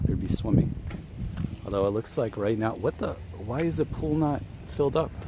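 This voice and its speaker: A man with a fairly low pitch speaks at a moderate pace with lively intonation over noticeable background noise. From US suburbs, partly Japan. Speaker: live streamer. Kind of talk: casual live stream chat. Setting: outdoors, walking. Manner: halting, many restarts.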